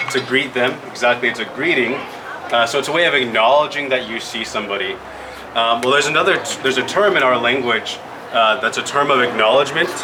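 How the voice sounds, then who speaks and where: A man speaks with an American accent and ordinary pitch variation. There is noticeable background noise and audible room echo. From Yakima Valley, Washington. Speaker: Native language and culture educator. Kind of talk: presentation to children.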